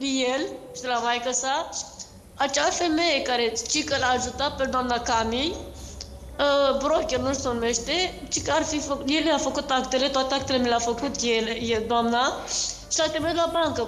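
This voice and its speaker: A woman's high voice at a fairly slow pace, fairly even in intonation and very even in loudness, with audible room echo and light background noise. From Romania, Giurgiu area; Romania. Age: 30s. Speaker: scam victim telling her story; guest. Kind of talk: testimony. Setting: video call. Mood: upset, recounting betrayal. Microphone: video call.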